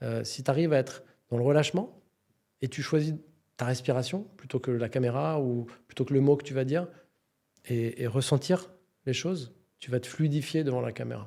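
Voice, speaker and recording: A man's dark, mellow voice at medium pitch, fairly quick but broken by long, frequent pauses, with ordinary pitch variation, in a very clean recording with a silent background. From France, Paris suburbs. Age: 50s. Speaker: entrepreneur. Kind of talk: podcast interview.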